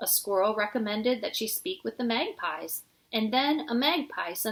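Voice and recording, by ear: This is reading aloud in a natural voice. Pitch varies in an ordinary way.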